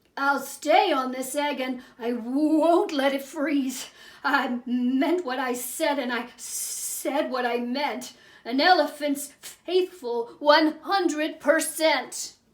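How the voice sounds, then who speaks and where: Speaking very slowly, a woman puts on a character voice. Her pitch is high. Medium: read story. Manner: earnest, steady.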